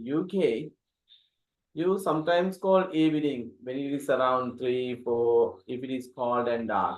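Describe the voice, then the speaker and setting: A man with a Sri Lankan accent speaks at a fairly slow pace. His intonation is lively. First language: Sinhala. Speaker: English teacher. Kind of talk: interview questions.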